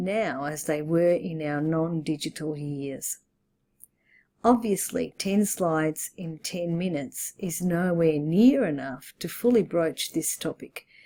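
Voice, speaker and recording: In an Australian accent, a woman with a fairly low pitch and a dark, mellow tone speaks very slowly, her intonation lively. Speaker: English teacher and teacher trainer. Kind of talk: presentation. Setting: online webinar recording. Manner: formal.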